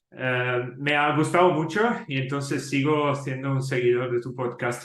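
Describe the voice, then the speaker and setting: Speaking at a fairly slow pace with an Italian accent, a man keeps his intonation fairly even while noticeable background noise runs underneath. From Italy. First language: Italian (speaking Spanish). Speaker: software company employee. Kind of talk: podcast interview.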